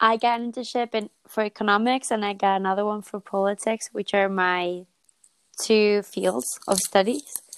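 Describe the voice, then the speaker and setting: The speaker has an unremarkable speaking voice and fairly even intonation at a moderate pace. The sound is dry and close, with no echo. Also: woman, medium pitch for a woman. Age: 20s. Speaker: podcast co-host. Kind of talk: casual chat.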